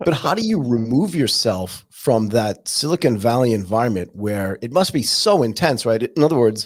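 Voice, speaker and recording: With an American accent and an unremarkable speaking voice, the speaker talks at a moderate pace with hardly any pauses and lively intonation. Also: man, medium pitch for a man. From California, US. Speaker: podcast host. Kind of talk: casual interview chat.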